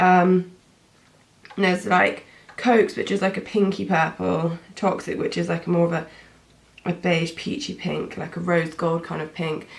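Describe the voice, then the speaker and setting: A woman's fairly low voice at a moderate pace, with fairly even intonation and long, frequent pauses. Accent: British. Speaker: beauty vlogger. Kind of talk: tutorial. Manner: casual, hesitant with many fillers.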